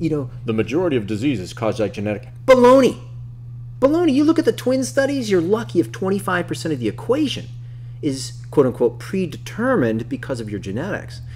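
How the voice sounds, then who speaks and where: Room echo is audible as a man talks very fast. His tone is animated. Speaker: nutritionist teaching health practitioners. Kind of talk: online course lecture. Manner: animated, sometimes stumbling.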